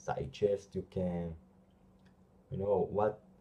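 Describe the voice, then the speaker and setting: A man with a non-native accent and a dark, mellow tone. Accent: non-native English speaker. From Israel. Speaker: bodybuilder. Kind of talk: vlog talk to camera. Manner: halting, many fillers.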